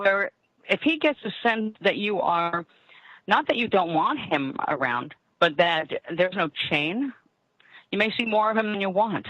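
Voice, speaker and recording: Her pitch swings very widely around a medium level. The woman speaks at a moderate pace with long, frequent pauses. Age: 60s. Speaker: tarot reader and psychic radio host. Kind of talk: live call-in psychic reading.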